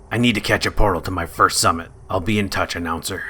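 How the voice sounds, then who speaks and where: A raspy, put-on character voice. It races along at a very fast pace. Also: man, fairly low pitch for a man. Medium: machinima. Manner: dry, wry.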